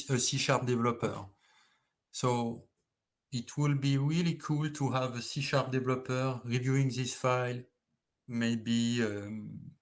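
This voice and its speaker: A man speaks at a fairly slow pace. The room echo is audible. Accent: French. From France. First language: French. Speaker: engineer. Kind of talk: conference presentation. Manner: halting.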